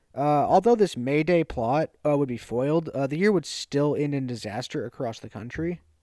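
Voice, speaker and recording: A man with an American accent speaks at a moderate pace in a fairly high pitch, his dark, mellow tone carrying lively intonation with hardly any pauses, on a very clean recording with a silent background and a dry, close sound with no echo. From US South. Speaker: podcast co-host. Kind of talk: reading an essay aloud.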